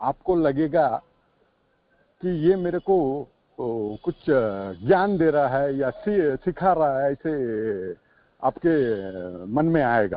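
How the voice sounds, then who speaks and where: A man with a South Indian accent speaks at fairly high pitch. His pitch swings very widely. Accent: South Indian accent in Hindi. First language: a South Indian language (speaking Hindi). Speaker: recovering alcoholic, firefighter. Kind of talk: support group sharing. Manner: halting, many fillers; Hindi mixed with English.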